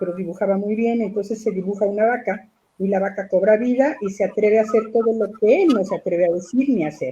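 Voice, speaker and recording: A woman speaks very fast with hardly any pauses, in a somewhat breathy voice with a dark, mellow tone. Her pitch sits at a medium level with ordinary variation. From Mexico City. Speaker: puppeteer and theatre director. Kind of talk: interview answer.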